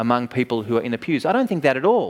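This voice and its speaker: A man with a medium pitch speaks with an Australian accent. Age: 40s. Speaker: preacher. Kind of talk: sermon. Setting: conference.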